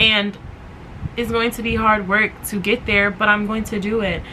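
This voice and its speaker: A woman speaks in an animated tone. Noticeable background noise runs underneath. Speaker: podcast host. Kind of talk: motivational podcast monologue. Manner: fast.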